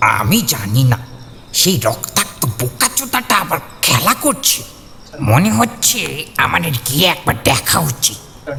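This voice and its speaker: A fairly high-pitched put-on character voice from a man, fairly slow, with very wide pitch swings and very even loudness, over clear background noise. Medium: read story.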